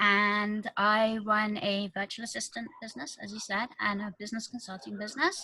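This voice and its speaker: A woman's fairly high voice, bright and sharp in tone, with fairly even intonation at a moderate pace. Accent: British. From UK. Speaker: virtual assistant and business consultant. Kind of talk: interview.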